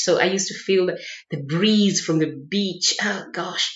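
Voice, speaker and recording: Audible room echo surrounds a voice whose intonation stays fairly even. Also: woman. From Kenya (Mombasa, coast). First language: Kikuyu. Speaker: vlogger. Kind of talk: casual chat. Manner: halting.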